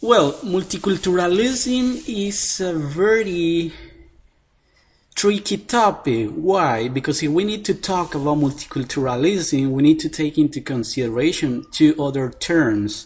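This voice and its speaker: This man's voice is high, with a Spanish accent. He talks fairly slowly, and his pitch swings very widely. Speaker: professor. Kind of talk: interview answer. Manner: halting.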